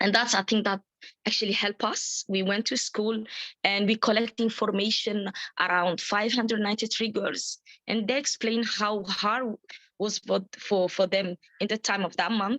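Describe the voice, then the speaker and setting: Her medium-pitched voice is flat and monotone, with very even loudness and a moderate pace. The sound is dry and close, with no echo. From Djibouti. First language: French. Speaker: menstrual health advocate. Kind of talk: webinar participant sharing experience. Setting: video call webinar. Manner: halting, many fillers and repetitions.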